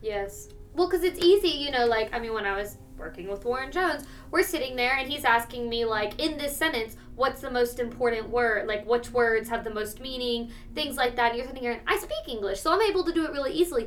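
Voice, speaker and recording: A woman's high-pitched voice moves with lively intonation. She talks at a very fast pace. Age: 20s. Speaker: voice student. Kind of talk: casual chat.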